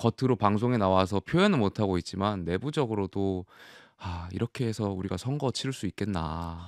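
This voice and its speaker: With a plain, everyday voice, a man speaks at a fairly low pitch and a moderate pace, with ordinary pitch variation, in a dry sound with no echo and a quiet background. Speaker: ruling party politician. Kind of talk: political debate. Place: studio. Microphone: studio mic.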